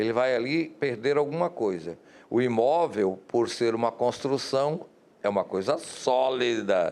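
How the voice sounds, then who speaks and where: A man with an ordinary speaking voice, medium pitch and ordinary pitch variation, over a quiet background. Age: 60s. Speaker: TV interviewer, journalist. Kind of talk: interview.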